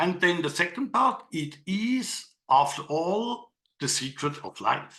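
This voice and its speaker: Speaking very slowly in a non-native accent, a man uses a high pitch with very wide pitch swings. His tone is bright and sharp. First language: not English. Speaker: digital artist and workshop leader. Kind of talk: online workshop presentation. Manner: halting, with fillers.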